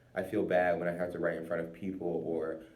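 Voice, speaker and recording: There is audible room echo as a man speaks at a fairly quick pace in a very deep, low pitch. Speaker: college student. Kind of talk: informal recorded monologue. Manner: halting; slurred and quiet when not paying attention.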